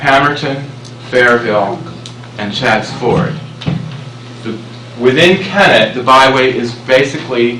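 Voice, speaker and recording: Against audible room echo and noticeable background noise, a man of medium pitch talks at a fairly slow pace with long, frequent pauses. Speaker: presenter on scenic byway planning. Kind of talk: public presentation. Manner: loud.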